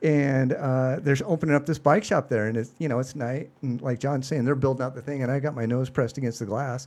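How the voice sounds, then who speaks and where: A man with an American accent talks at a very fast pace with hardly any pauses, keeping a medium pitch and fairly even intonation. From Seattle, US Pacific Northwest. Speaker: youth cycling league organizer, former banker. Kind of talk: casual interview chat.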